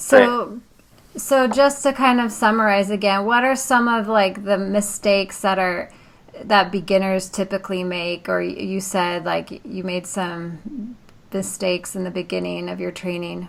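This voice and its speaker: A woman speaks in a normal speaking voice at medium pitch, with ordinary pitch variation and a fairly slow pace. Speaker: podcast host. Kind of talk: podcast interview questions.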